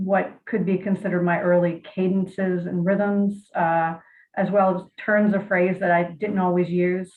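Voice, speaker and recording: With an American accent, the speaker talks at a moderate pace in a monotone, flat intonation. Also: woman. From Virginia. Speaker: poet. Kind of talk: interview and poetry reading. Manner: hesitant, many fillers.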